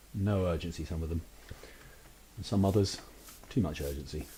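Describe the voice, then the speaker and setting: A man's very deep, low voice, dark and mellow in tone and somewhat breathy, going at a very fast pace broken by long, frequent pauses. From United Kingdom. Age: 30s. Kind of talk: casual gameplay commentary. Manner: hesitant, rambling.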